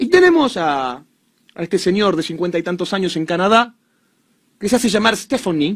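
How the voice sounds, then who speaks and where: A man with a Rioplatense accent and a high pitch talks at a moderate pace in an animated tone over a quiet background. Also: lively intonation. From Argentina. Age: 30s. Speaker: commentator. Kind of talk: monologue commentary. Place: studio. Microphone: studio mic.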